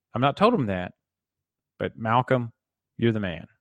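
A man speaks with a Southern US accent. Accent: Southern twang. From Tennessee, US South. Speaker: podcast host. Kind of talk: casual solo podcast talk.

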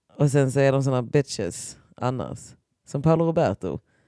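On a very clean recording with a silent background and a dry, close sound with no echo, a woman speaks at a moderate pace in a very deep, low pitch with a dark, mellow tone and ordinary pitch variation. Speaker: podcast co-host. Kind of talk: casual chat. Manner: animated.

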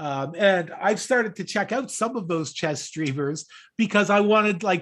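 A man speaks with a Canadian accent at a high pitch, with lively intonation. The recording is very clean, with a silent background. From Canada, Toronto area. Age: 60s. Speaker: podcast co-host. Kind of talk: casual chat.

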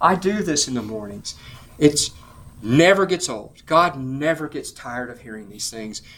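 A normal speaking voice from a man, fairly high in pitch, with lively intonation. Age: 60s. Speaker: preacher / Bible teacher. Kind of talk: sermon; group discussion.

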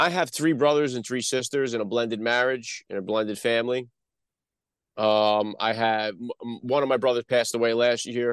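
Against a quiet background, a man speaks with a Northeast US accent. His pitch is medium, his pace moderate and his intonation fairly even. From North Jersey. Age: 40s. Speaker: podcast host. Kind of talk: interview. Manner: halting, many fillers; stutters on word starts.

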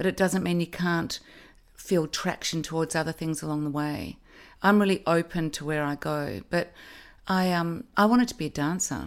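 A woman's fairly low voice in an Australian accent, fairly even in intonation and moderate in pace, on a very clean recording with a silent background. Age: 50s. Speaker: actress. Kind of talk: casual chat.

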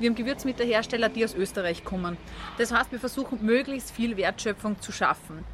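Talking fairly quickly, a woman with an ordinary speaking voice holds a fairly high pitch and fairly even intonation. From Austria. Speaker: vegan food entrepreneur. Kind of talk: interview.

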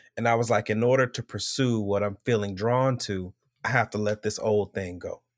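In a dry, close recording with no echo, a man with an American accent speaks at a moderate pace, with fairly low pitch and fairly even intonation. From Florida. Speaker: podcast co-host. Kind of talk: casual chat.

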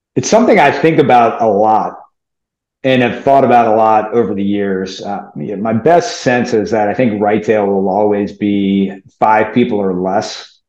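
The speaker has an American accent and a fairly slow pace. Pitch varies in an ordinary way, with audible room echo. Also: man, fairly low pitch for a man. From US South, New Orleans. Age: 40s. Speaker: fund manager. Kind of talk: interview.

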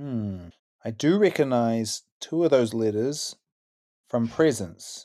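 Over a very clean recording with a silent background, a man with a medium pitch talks at a very slow pace in a dark, mellow tone. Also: lively intonation. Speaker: comedy show assistant. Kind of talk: casual game play. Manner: jolly.

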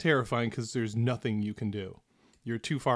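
The voice reads naturally, keeping its intonation fairly even.

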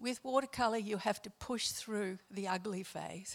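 Spoken in a plain, everyday voice at a moderate pace, the clip shows ordinary pitch variation. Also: woman. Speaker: church member. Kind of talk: prayer.

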